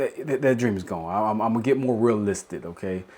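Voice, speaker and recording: This voice carries a strong Southern US accent and ordinary pitch variation. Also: man. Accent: strong Southern rural. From South Carolina. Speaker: podcast host. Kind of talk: casual podcast monologue. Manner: rambling with repetitions.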